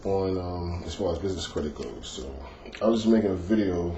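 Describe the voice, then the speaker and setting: Moderately paced speech from a man, very deep and low in pitch, its variation ordinary, in audible room echo. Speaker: business credit vlogger. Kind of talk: casual informational video. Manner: speaking lighter than natural tone; hesitant, many fillers.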